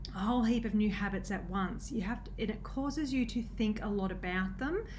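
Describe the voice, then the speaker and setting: Audible room echo is present in this recording. The delivery has a moderate pace and ordinary pitch variation. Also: woman. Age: 30s. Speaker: nutrition coach. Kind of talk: casual vlog talk. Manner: halting, many fillers.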